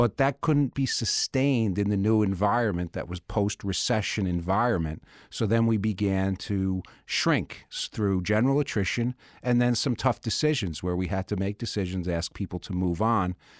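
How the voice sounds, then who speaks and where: Here is a man with an unremarkable speaking voice, fairly low in pitch, using ordinary pitch variation at a moderate pace. The sound is dry and close with no echo, in a very clean recording with a silent background. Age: 50s. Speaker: managing partner of a law firm. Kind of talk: casual chat. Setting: studio.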